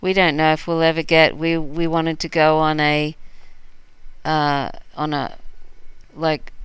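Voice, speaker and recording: A woman with an Australian accent and a very deep, low pitch, monotone and flat, at a fairly slow pace with long, frequent pauses, on a very clean recording with a silent background. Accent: mostly Australian. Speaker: livestream host. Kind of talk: casual chat. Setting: live stream.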